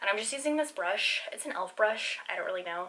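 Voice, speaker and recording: Talking at a very fast pace with lively intonation, a woman is heard over light background noise. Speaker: beauty vlogger. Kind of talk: makeup tutorial. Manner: stumbling over words. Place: home room. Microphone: phone near.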